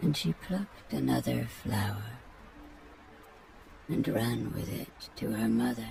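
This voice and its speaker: Using a put-on character voice at a fairly slow pace, the speaker leaves long, frequent pauses amid clear background noise. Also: man. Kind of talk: bedtime story reading. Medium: read story. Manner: measured, tranquil.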